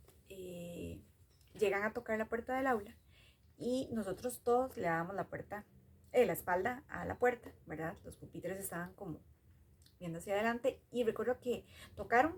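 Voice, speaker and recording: A woman in a Costa Rican accent, medium-pitched, at a moderate pace, ordinary pitch variation, big swings in loudness, and long, frequent pauses. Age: 30s. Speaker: storyteller sharing a personal memory. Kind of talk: personal storytelling. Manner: hesitant, many fillers.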